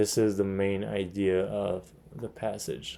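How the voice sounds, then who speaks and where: A man with a non-native accent speaks at a fairly low pitch. His tone is dark and mellow, and his intonation monotone and flat. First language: not English. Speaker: MCAT tutor. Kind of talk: tutorial. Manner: hesitant, many fillers.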